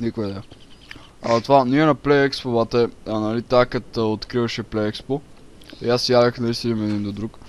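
At a moderate pace, this man talks with a plain, everyday voice, holding a medium pitch and fairly even intonation. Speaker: gaming YouTuber. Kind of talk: casual chat.

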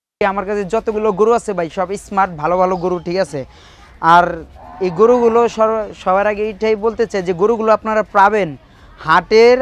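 A man speaks with ordinary pitch variation. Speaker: cattle trader. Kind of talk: interview.

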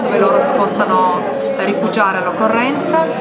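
Speech at a moderate pace comes through loud background noise. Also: woman. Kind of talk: interview answer. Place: cafe.

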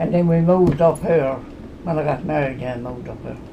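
A woman talks at a fairly quick pace with a Newfoundland accent. Her pitch is fairly low, with light background noise behind her. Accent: Newfoundland outport. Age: 80s+. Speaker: farmer. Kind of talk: interview answer. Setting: at home.

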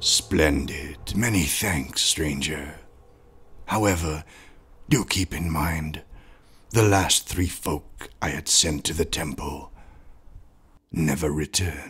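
A cartoonish character voice from a man, raspy and very deep in pitch, at a fairly slow pace with long, frequent pauses. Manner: smooth, wheedling, formal.

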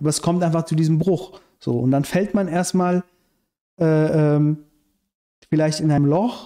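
A man speaks fairly slowly at a fairly high pitch, with long, frequent pauses. His tone is dark and mellow, his intonation fairly even and his loudness very even. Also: quiet background. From Iran, raised in Germany from childhood. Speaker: screenwriter and activist; podcast guest. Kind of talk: casual interview conversation. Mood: calm narrating a dream. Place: home room. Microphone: studio mic.

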